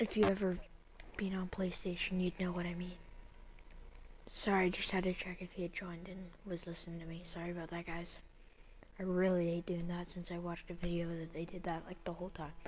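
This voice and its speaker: A woman whispers at a very fast pace. Long pauses come often. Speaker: gaming streamer. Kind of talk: casual live stream commentary. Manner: whispering.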